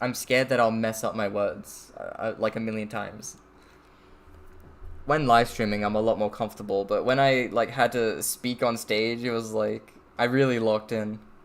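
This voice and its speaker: A man's medium-pitched voice in an Australian accent, monotone with flat intonation at a moderate pace. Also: very clean recording, silent background. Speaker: streamer. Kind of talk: casual chat. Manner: casual, disfluent.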